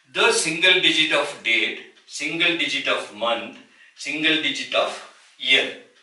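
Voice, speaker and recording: A fairly high-pitched man with an Indian accent, in audible room echo. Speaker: numerology teacher. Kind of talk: tutorial. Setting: solo video recording. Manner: slow. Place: home room. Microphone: camera far.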